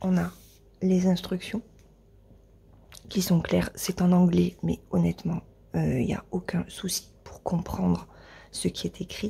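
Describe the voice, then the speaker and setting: Quiet speech comes at a very slow pace, with big swings in loudness and long, frequent pauses. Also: woman. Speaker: crafting youtuber. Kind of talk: unboxing video. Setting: at home, early morning. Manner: hesitant, many filler words; quiet, avoiding raising voice. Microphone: mic at mouth height, may sound quiet.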